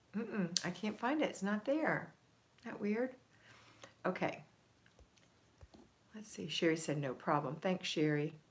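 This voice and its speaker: A woman's medium-pitched, somewhat breathy voice in an American accent, fairly slow with long, frequent pauses, very wide pitch swings and big swings in loudness. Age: 60s. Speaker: homemaking coach and live streamer. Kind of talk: live stream chat reading viewer comments. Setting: live stream.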